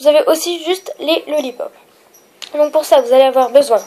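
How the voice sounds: Nasal with a slightly husky edge, a woman's dark, mellow voice moves at a moderate pace with ordinary pitch variation.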